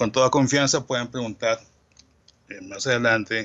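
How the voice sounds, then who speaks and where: A man's voice at medium pitch. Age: 60s. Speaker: medical entomologist, researcher. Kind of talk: lecture.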